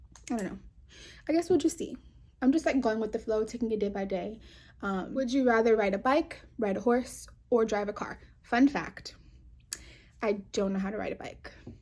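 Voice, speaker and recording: A woman with an American accent speaks with lively intonation. Her voice is fairly high and somewhat breathy. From New York. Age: 20s. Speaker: vlogger. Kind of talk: casual chat. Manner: fast.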